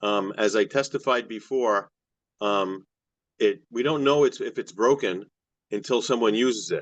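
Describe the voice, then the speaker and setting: Delivered at a moderate pace, the speech has ordinary pitch variation and long, frequent pauses. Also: man, medium pitch for a man. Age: 60s. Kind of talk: public testimony.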